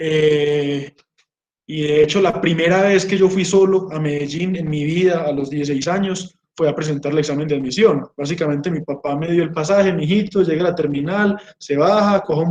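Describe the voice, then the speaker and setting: Speaking at a fairly quick pace, a man with an Antioquian accent uses a fairly high pitch and fairly even intonation. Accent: rural Antioquian Colombian. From Colombia, Marinilla, Antioquia. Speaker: geologist and doctoral researcher. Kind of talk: informal talk to students.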